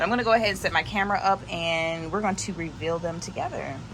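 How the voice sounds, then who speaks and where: A woman's voice with ordinary pitch variation, audible room echo, and music in the background. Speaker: small business owner vlogger. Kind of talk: tutorial.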